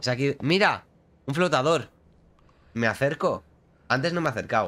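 A man's bright, sharp tone at a fairly quick pace with ordinary pitch variation. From Spain. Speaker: gaming streamer. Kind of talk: live gameplay commentary. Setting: live stream. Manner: casual, chatty. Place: home room. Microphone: studio mic.

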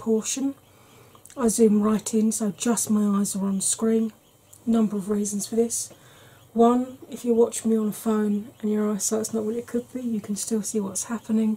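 A woman at a fairly slow pace, in a monotone, flat intonation. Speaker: beauty vlogger. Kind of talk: tutorial. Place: home room.

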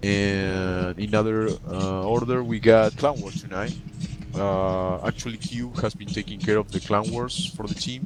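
With noticeable background noise behind him, a man with a non-native accent speaks at a moderate pace, his fairly low voice carrying lively intonation. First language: not English. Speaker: gaming clan officer. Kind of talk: community meeting update. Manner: halting, many repeated words.

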